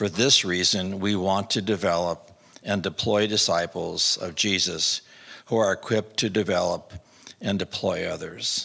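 With a low pitch and a bright, sharp tone, a man speaks at a fairly slow pace, showing vocal fry, a slightly husky edge and fairly even intonation.

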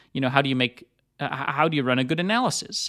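Recorded very cleanly against a silent background, a man speaks very fast at a medium pitch. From Netherlands. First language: Dutch. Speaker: podcast host. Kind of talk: solo monologue, personal story. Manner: casual with many fillers and repetitions.

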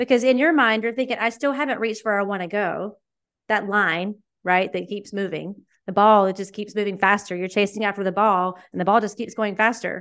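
Over a quiet background, a woman uses an ordinary speaking voice at medium pitch, talking at a fairly quick pace with ordinary pitch variation. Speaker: coach and entrepreneur. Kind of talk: casual interview conversation.

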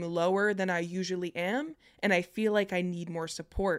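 A woman speaks at a moderate pace with an American accent and a medium pitch. The recording is very clean, with a silent background. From New Jersey, US. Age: 20s. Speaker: podcast host, aspiring filmmaker. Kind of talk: casual interview chat. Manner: bubbly.

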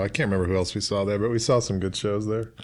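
This man's voice is fairly low in pitch, with an American accent, captured in a very clean recording against a silent background. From Brooklyn, New York. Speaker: novelist. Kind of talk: casual chat.

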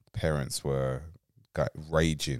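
The sound is dry and close, with no echo. A man talks in a very deep, low pitch. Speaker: podcast co-host. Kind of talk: casual chat.

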